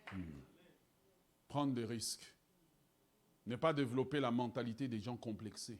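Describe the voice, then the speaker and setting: An animated man talks at a fairly slow pace and medium pitch. His pitch varies in an ordinary way. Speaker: pastor. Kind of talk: sermon. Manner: animated, emphatic preaching.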